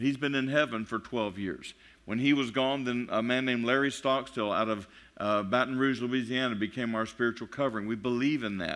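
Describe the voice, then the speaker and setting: A man with a Texan accent, medium pitch and a fairly quick pace, set in a quiet background. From Texas. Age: 50s. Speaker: pastor. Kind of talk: sermon. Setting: church. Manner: fast; animated.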